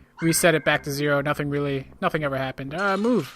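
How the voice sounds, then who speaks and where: Music plays behind speech that runs at a very fast clip. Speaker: gaming let's-play host. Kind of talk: casual gameplay commentary. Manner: casual, halting with restarts.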